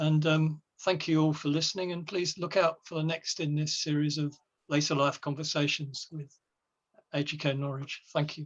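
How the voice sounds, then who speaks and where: This man talks at a moderate pace with monotone, flat intonation. His pitch sits fairly high. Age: 70s. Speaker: retired journalist, host. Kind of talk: panel discussion hosting.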